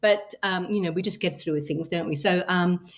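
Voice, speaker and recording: This woman speaks with an English accent at a moderate speed. Her pitch sits fairly low and varies in an ordinary way. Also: very clean recording, silent background. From England. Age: 60s. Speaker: travel group founder. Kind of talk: interview. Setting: podcast interview. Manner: hesitant, many fillers.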